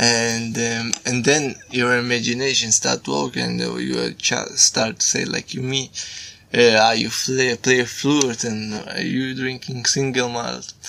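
Very slow speech from a man at a medium pitch, with fairly even intonation over noticeable background noise. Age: 30s. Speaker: social project organizer, flute player. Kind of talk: casual chat. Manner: halting. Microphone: far from the mic.

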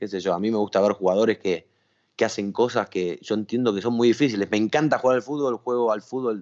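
In a Rioplatense accent, the speaker goes at a very fast pace with ordinary pitch variation. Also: man, fairly low pitch for a man. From Argentina. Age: 30s. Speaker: sports journalist. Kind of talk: casual interview.

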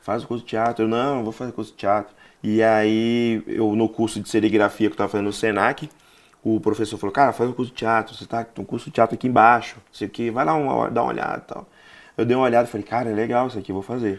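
Here a man talks at a very fast pace with medium pitch and fairly even intonation. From Bahia, Brazil, raised in Rio de Janeiro. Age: 40s. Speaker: stand-up comedian. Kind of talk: casual interview chat.

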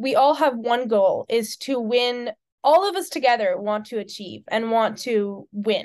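In an American accent, a woman with a fairly high pitch talks at a fairly slow pace, an ordinary speaking voice. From United States. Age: 20s. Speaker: student athlete, rower. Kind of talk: interview.

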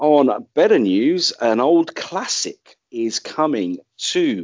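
British accent from a male speaker. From UK. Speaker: podcast host. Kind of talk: casual chat.

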